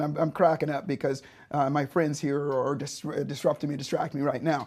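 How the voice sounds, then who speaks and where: A man is speaking. His pace is fairly quick. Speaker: speaker and speaking coach. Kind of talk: webinar presentation. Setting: studio.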